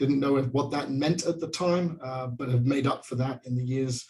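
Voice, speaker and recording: A man with a British accent, fairly high in pitch, somewhat breathy, with ordinary pitch variation. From England. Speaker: pastor. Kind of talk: panel remarks. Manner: hesitant, many fillers.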